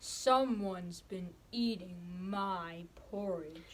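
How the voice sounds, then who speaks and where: In a cartoonish character voice at a medium pitch, a woman speaks at a very slow pace over clear background noise. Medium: puppet.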